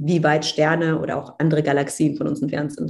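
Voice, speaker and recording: A normal speaking voice, a woman's with fairly low pitch, fairly even intonation and a fairly quick pace. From Germany, Cologne. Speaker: astronaut trainee and astrophysicist. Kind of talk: casual interview.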